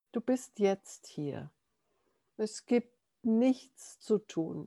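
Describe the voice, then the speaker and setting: In a very clean recording with a silent background, a woman of medium pitch speaks in a calm, gentle tone with lively intonation. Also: dry, close sound with no echo. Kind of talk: guided meditation. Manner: calm, gentle, slow-paced guiding.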